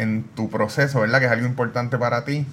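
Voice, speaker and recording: Noticeable background noise is present. The speaker's intonation stays fairly even. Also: man. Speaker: podcast host. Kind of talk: interview.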